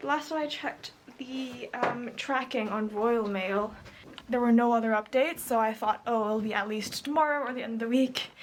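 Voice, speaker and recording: A woman's high-pitched voice with an American accent, at a moderate pace with ordinary pitch variation, over noticeable background noise. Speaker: beauty vlogger. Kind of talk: casual vlog. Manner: animated.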